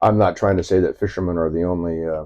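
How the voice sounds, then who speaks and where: A man with an American accent speaks fairly quickly in a very deep, low voice. His tone is dark and mellow, and his intonation is monotone and flat. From Southern California. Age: 60s. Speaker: commercial fisherman. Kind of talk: interview. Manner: halting.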